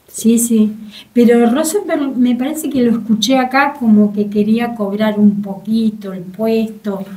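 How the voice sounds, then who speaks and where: A woman speaks fairly slowly in a fairly high, somewhat breathy voice. Her tone is dark and mellow, with ordinary pitch variation. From Argentina. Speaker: market coordinator; guest. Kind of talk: interview. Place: studio. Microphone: studio mic.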